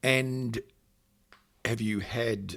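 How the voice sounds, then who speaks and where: With an Australian accent, a man speaks on a very clean recording with a silent background. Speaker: channel host, paramedic. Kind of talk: interview. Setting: hotel.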